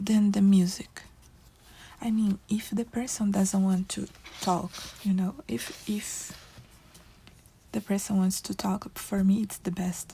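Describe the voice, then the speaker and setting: The speaker has a non-native accent and a fairly slow pace. Long, frequent pauses break up the speech. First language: not English. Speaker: coloring video creator. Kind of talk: casual chat while coloring. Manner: halting.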